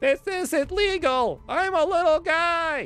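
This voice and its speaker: Someone uses a put-on character voice at a fairly slow pace while faint music plays behind. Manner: whiny, protesting.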